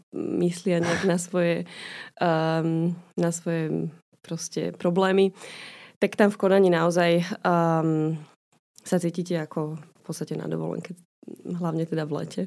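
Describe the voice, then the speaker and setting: A woman speaks at a fairly slow pace with a fairly low pitch. Her intonation stays fairly even. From Slovakia, Bratislava. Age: young. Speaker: physician. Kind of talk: casual interview chat. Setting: podcast studio. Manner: hesitant, many fillers.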